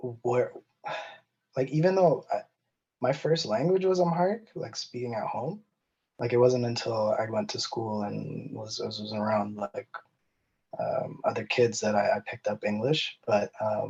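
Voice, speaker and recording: A man with a Canadian accent at a fairly slow pace, with long, frequent pauses. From Canada. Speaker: podcast guest. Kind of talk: casual discussion. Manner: halting, many fillers and repeats.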